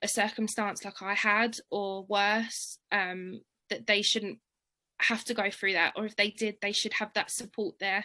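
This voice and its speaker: Against a quiet background, a woman with an English accent speaks at a fairly slow pace in a fairly high pitch, her tone bright and sharp and her intonation monotone and flat. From London. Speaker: charity worker and bursary alumna. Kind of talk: interview, personal story. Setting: webinar video call.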